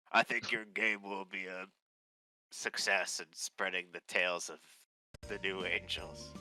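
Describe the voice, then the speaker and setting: A man's raspy, put-on character voice, very deep and low in pitch, with ordinary pitch variation at a moderate pace over music in the background. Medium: actual play.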